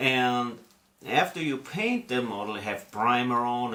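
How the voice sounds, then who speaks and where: Speaking in an Austrian accent, a man of medium pitch uses a bright, sharp tone at a fairly slow pace. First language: German. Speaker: scale model hobbyist video host. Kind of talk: casual hobby tutorial. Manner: casual.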